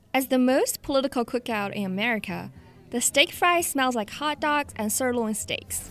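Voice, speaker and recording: Speaking with a Chinese accent, a woman talks at a moderate pace with a high pitch. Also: ordinary pitch variation. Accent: Mandarin Chinese accent in English. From China, Jinan. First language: Mandarin Chinese. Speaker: podcast host and reporter. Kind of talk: scripted narration.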